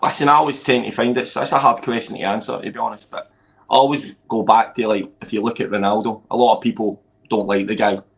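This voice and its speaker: Here a man talks at a very fast pace in a Scottish accent. His pitch sits at a medium level. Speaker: amateur football coach. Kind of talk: casual chat. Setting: live stream. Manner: loud; animated.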